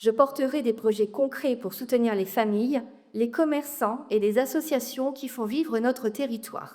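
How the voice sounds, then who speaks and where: Her voice is high-pitched yet dark and mellow in tone. The woman speaks at a moderate pace with ordinary pitch variation. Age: 40s. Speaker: local election candidate. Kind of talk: campaign speech at public meeting. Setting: public meeting with audience.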